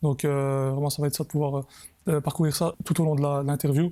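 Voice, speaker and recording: A man speaks very fast in a dark, mellow tone at a fairly high pitch. His intonation is monotone and flat, on a very clean recording with a silent background. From Belgium, Brussels (Molenbeek). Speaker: football show host. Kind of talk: interview. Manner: hesitant, many fillers.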